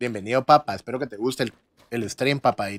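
This voice has a Guatemalan accent and a fairly quick pace with ordinary pitch variation. The sound is dry, with no echo. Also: man. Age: 20s. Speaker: gaming streamer. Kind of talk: live gameplay stream chat. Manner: animated. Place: home room.

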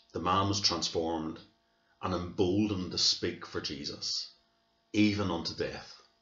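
A man talks at a fairly slow pace in a very deep, low voice. His intonation stays fairly even, and room echo is audible. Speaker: church minister. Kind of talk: sermon. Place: home room. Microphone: webcam.

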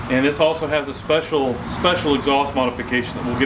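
A man at a fairly quick pace with fairly even intonation, amid noticeable background noise. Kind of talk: presenter intro to a test drive. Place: street.

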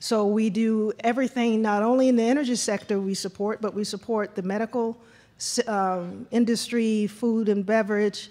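A woman speaks in a plain, everyday voice at a fairly high pitch, keeping a moderate pace and fairly even intonation on a very clean recording with a silent background. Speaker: panel moderator and government official. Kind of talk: moderating a conference panel. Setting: stage with audience.

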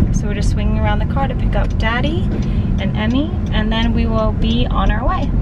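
A woman at a fairly quick pace, dry sound with no echo, music in the background. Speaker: vlogger. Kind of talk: casual vlog chat. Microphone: camera far.

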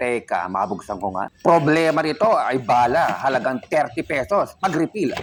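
Noticeable background noise surrounds a man speaking at a moderate pace in a fairly high pitch, with very wide pitch swings. He barely pauses at all. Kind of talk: pitchman demo, playful sales pitch for a used-oil stove. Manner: animated, teasing, exclaiming with mock surprise.

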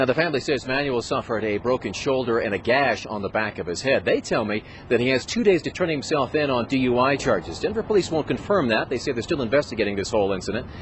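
A man talks at a very fast pace. The sound is dry with no echo, with light background noise. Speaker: TV news reporter. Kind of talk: live news report. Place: street. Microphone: handheld.

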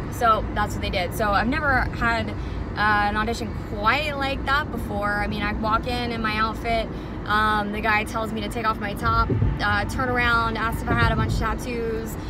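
A woman talks at a moderate pace in a dry sound with no echo, against loud background noise. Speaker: club dancer reviewing a workplace. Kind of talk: casual vlog chat. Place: car. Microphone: phone near.

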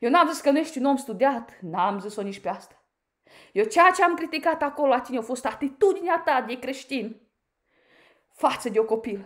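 In an animated tone, a woman with a high pitch talks at a moderate pace, her voice making very wide pitch swings over a quiet background. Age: 30s. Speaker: YouTuber, commentator. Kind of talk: critical video monologue. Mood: indignant, confrontational. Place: home room. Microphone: phone near.

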